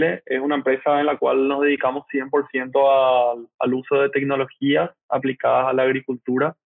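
This man's voice sits at a medium pitch. He speaks very slowly. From Paraguay. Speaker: agtech company founder. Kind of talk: interview.

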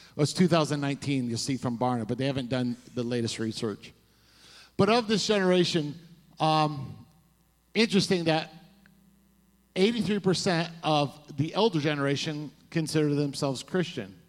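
At a moderate pace, a man with a fairly high voice sounds animated, his intonation lively and broken by long, frequent pauses. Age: 40s. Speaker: pastor. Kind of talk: sermon. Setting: church.

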